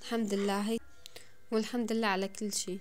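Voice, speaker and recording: In a Damascene accent, a woman speaks at a fairly slow pace with flat, monotone intonation over light background noise. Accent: Damascene Levantine Arabic. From Syria, Damascus. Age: 20s. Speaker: home vlogger, mother; home vlogger. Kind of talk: casual vlog narration. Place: home room. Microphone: phone near.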